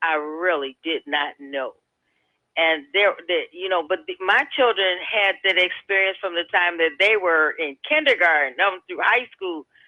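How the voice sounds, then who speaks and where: A normal speaking voice with an American accent, fairly slow in pace, with lively intonation. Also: woman, medium pitch for a woman. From Hammond, Indiana (US Midwest). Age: 60s. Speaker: radio caller. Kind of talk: call-in radio chat.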